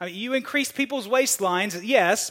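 The pitch swings very widely. A man is the one talking. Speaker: pastor. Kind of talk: sermon.

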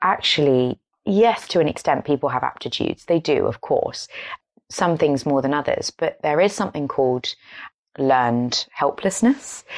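A woman with an English accent, very deep, low pitch, lively intonation and a moderate pace, in a dry, close sound with no echo and a quiet background. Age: 20s. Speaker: podcast host. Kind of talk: casual chat.

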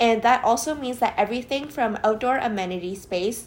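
Here a woman speaks in a plain, everyday voice with ordinary pitch variation. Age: 20s. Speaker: podcast co-host, planning student. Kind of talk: casual chat with read-out research.

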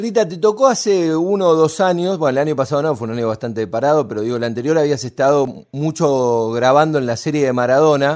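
Against a silent background in a very clean recording, a man with an ordinary speaking voice talks at a fairly quick pace with fairly high pitch and lively intonation. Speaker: radio host. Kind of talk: radio interview.

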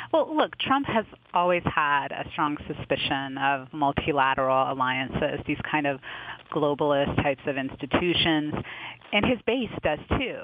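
A woman with a very deep, low-pitched voice speaks at a moderate pace. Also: ordinary pitch variation. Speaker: foreign policy journalist. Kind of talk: interview discussion.

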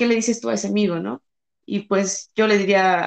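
In a Mexican accent, a woman speaks at a fairly slow pace. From Mexico. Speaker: engineer. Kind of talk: casual chat.

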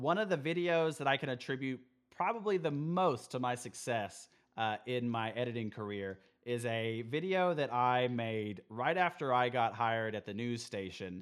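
A man with an ordinary speaking voice and an American accent talks at a moderate pace and medium pitch, his intonation lively. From West Texas (Midland, Amarillo). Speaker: video editor and media designer. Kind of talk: casual chat. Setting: remote call.

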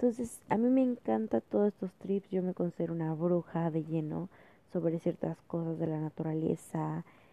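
This woman has an ordinary speaking voice with a fairly low pitch. Her intonation is lively, and her pace is moderate. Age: 20s. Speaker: student podcaster. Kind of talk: casual monologue.

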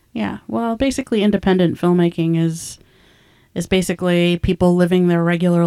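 At a fairly quick pace, a voice with an American accent and a dark, mellow tone comes through in a very clean recording with a silent background. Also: woman. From California Central Valley, small town. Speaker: independent filmmaker, podcast co-host. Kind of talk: casual chat.

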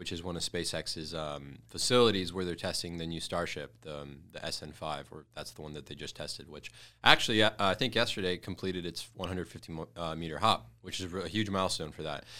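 A man with an American accent talks very fast with hardly any pauses, his pitch very deep and low with ordinary variation. His tone is bright and sharp, and the recording is very clean with a silent background. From US Midwest, Detroit. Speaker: e-commerce entrepreneur. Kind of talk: casual chat.

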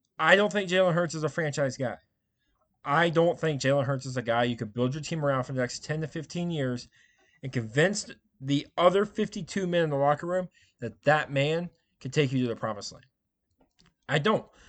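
In a quiet background, a man with an American accent speaks at a fairly quick pace and fairly high pitch with ordinary pitch variation, stopping for long, frequent pauses. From Indiana, US Midwest. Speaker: sports podcast host. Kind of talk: solo sports commentary.

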